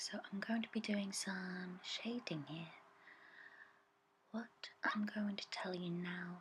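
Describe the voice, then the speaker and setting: Soft-spoken whispering at a very slow pace, with long, frequent pauses. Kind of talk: ASMR art tutorial voiceover, soft-spoken talk to camera. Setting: voiceover recorded separately over original video.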